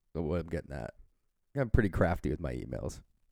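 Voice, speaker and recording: A dark, mellow tone with vocal fry at a very fast pace, on a very clean recording with a silent background. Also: man. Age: 20s. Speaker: fishing podcast co-host. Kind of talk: casual chat.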